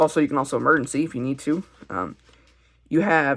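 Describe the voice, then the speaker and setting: The speaker is a man with a fairly high-pitched voice. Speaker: hobbyist video maker. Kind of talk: tutorial. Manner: stuttering; halting.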